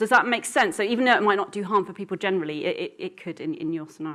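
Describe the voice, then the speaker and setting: The speaker races along at a very fast pace with lively intonation, big swings in loudness and hardly any pauses. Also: woman. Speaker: keynote speaker on school mental health. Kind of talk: conference keynote presentation. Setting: stage with audience. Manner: animated.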